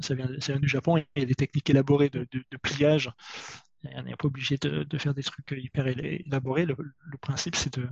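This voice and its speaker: In a dry, close sound with no echo, a man with a somewhat breathy, fairly high voice speaks at a moderate pace with fairly even intonation. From southern France. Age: 40s. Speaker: IT worker and climate volunteer. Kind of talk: casual interview. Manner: halting, many hesitations.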